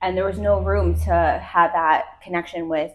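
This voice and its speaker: A woman with vocal fry. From New Jersey. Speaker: salon owner and hairdresser, podcast co-host. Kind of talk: casual chat.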